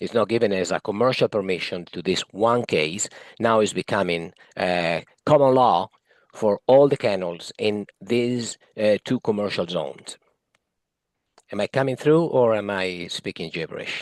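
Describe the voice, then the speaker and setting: A man's fairly low voice with an Italian accent, at a moderate pace with ordinary pitch variation, in a dry, close sound with no echo. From Italy. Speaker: municipal advisory committee member. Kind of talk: committee meeting discussion. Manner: halting.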